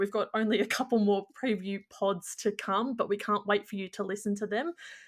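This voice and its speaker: A woman in an Australian accent, with fairly even intonation. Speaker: podcast host. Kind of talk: casual chat.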